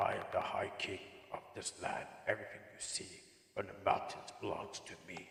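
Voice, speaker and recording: A man uses a raspy, put-on character voice with a sinister tone, and a clear echo surrounds it. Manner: regal, sinister, courteous.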